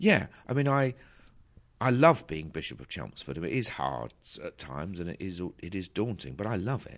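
A man with an Essex accent talks fairly quickly in a very deep, low voice with vocal fry, his pitch swinging very widely. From south Essex, England. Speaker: bishop. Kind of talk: interview. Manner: halting.

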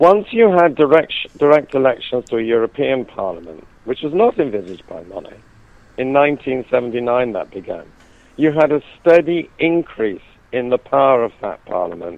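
A man with a British accent at a moderate pace, with big swings in loudness and very wide pitch swings. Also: medium pitch for a man. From UK. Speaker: author and university lecturer on the EU. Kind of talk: interview about his book. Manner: halting, with frequent repetitions.

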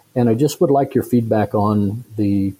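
A man with an American accent speaks at a fairly low pitch with a dark, mellow tone. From US Midwest. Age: 50s. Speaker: listener with investment question. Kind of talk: recorded listener question.

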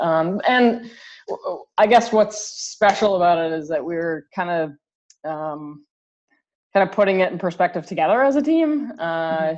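A woman with a medium pitch has a normal speaking voice and lively intonation. She talks at a moderate pace against a quiet background. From Canada. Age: 30s. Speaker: college golf coach. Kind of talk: interview.

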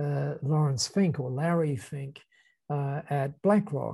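Against a quiet background, a man with an Australian accent speaks at a fairly high pitch with ordinary pitch variation. His voice is somewhat breathy, with a dark, mellow tone. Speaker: business founder and speaker. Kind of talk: casual chat. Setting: video call.

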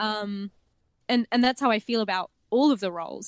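In an Australian accent, a woman speaks at a fairly high pitch with ordinary variation, the sound dry and close with no echo over a quiet background. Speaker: tabletop gaming podcaster and cosplayer. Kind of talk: casual chat.

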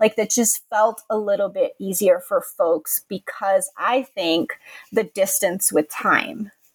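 A woman with an American accent speaks very slowly at a fairly high pitch, with ordinary pitch variation. The sound is dry and close, with no echo. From California, Contra Costa County. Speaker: history professor and author. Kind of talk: interview.

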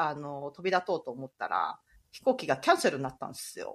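Very wide pitch swings in a woman's bright, sharp tone. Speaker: podcast host, ICU nurse. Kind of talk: casual chat.

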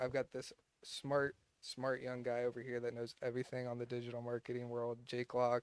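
At a fairly quick pace, a man with an American accent speaks in a flat monotone at a medium pitch, the sound dry and close with no echo. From Ohio, US Midwest. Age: 20s. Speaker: insurance agency owner. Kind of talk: casual interview.

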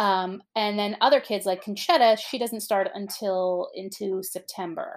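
A woman with an American accent at a fairly slow pace, her medium-pitched voice showing ordinary pitch variation and hardly any pauses, on a very clean recording with a silent background. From US, New Jersey. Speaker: children's podcast host, mother. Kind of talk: casual chat and reading aloud to children. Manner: animated.

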